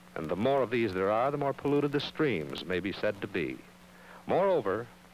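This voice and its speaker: A man talks in an ordinary speaking voice. His pace is moderate and his intonation lively. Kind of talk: 1960s educational film narration. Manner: formal, measured, solemn; authoritative, earnest, grave warning tone.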